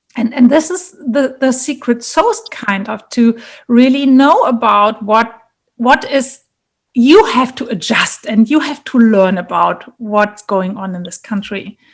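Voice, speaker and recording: A woman in a German accent, high-pitched, at a fairly slow pace, with ordinary pitch variation and big swings in loudness. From Germany, Munich. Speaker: leadership and career coach. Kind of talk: interview.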